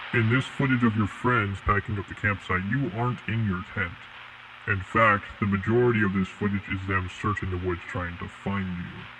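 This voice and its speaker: Putting on a character voice, a man speaks at a fairly low pitch over clear background noise. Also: moderate pace. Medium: audio drama. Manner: calm, formal, detached.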